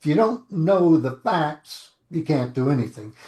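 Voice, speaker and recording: Somewhat breathy, a man speaks with fairly high pitch and lively intonation. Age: 70s. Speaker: lawyer. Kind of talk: interview.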